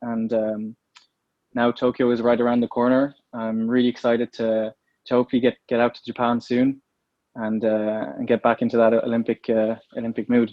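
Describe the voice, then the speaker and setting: Here a man speaks in an Irish accent at a medium pitch. His intonation is monotone and flat, and his pace is moderate. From Ireland. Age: 20s. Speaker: professional slalom canoeist. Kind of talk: interview. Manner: hesitant, many fillers.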